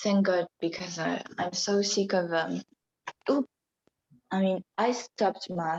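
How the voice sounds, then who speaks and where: In a dry, close recording with no echo, a woman speaks very slowly at very even loudness, with long, frequent pauses. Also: medium pitch for a woman, fairly even intonation. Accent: French. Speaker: podcast co-host. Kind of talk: casual chat.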